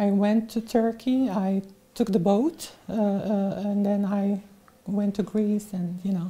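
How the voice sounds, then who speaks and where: A woman's somewhat breathy, dark, mellow voice at medium pitch, with fairly even intonation and a very slow pace. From Syria. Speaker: refugee. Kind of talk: interview. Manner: halting.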